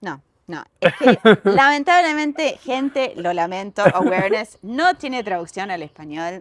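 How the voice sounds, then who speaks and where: On a very clean recording with a silent background, a woman with a medium pitch shows very wide pitch swings and big swings in loudness. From United States. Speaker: yoga teacher and author. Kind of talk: casual chat. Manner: animated.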